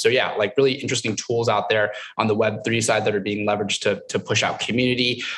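Over a quiet background, a man talks at a very fast pace with monotone, flat intonation. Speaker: guest. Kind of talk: panel discussion answer. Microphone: webcam.

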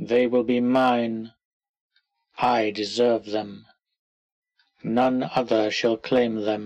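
Delivered at a very slow pace with long, frequent pauses, the put-on character voice stays monotone and flat. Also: man, medium pitch for a man. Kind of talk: clear, authoritative. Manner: commanding, possessive.

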